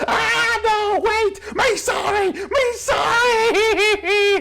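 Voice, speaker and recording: Shouting in a put-on character voice, the speaker hits an extremely high pitch. The pace is very slow, with clear background noise. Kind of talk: broken speech. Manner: pleading, panicked.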